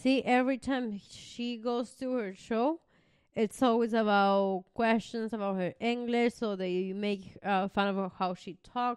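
Spoken with a Venezuelan accent at a fairly slow pace. The intonation stays fairly even over a quiet background. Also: woman, fairly high pitch for a woman. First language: Spanish. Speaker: podcast co-host. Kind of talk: casual chat.

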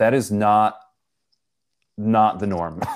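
A man with a Western New York accent speaks at a fairly low pitch. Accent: Western New York (Inland North) American. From Buffalo, New York. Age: 30s. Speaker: youth ministry director. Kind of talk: casual interview conversation. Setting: remote call.

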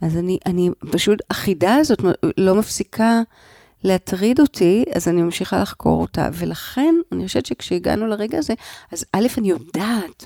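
Recorded very clean with a silent background and a dry, close sound with no echo, a woman of medium pitch speaks at a moderate pace in a dark, mellow tone. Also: lively intonation. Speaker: psychoanalyst and trauma expert. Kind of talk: interview. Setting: in a car. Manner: halting.

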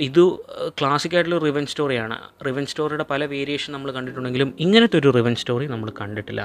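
Noticeable background noise behind a man's mid-range voice and its ordinary pitch variation. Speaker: podcast host, film reviewer. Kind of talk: solo movie review monologue.

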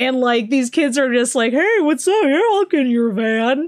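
In a very clean recording with a silent background, a woman speaks at a high pitch. She sounds animated, her pitch swinging very widely. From Chicago. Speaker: horror podcast host. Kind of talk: casual chat; interview.

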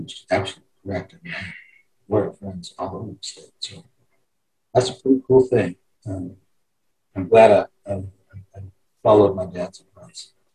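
A man with a dark, mellow tone, fairly low pitch and a somewhat breathy voice, big swings in loudness and long, frequent pauses. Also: ordinary pitch variation, moderate pace. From Wyoming (Cheyenne). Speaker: former state senator, judge. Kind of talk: interview.

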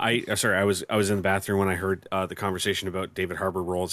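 In a Canadian accent, a man with a fairly low pitch talks at a very fast pace. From Canada. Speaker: podcast co-host. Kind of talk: casual chat. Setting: video call.

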